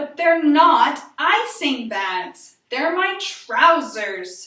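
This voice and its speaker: A woman uses a put-on character voice at an extremely high pitch, with very wide pitch swings. She speaks at a very slow pace, with slight echo. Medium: read story.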